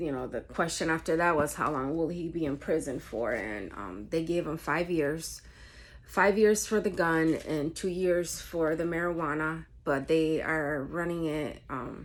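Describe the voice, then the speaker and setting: Her voice very deep and low, a woman with a Spanish accent speaks with vocal fry and ordinary pitch variation. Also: fairly slow pace. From New York State. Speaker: vlogger. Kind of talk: casual chat. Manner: halting, many fillers.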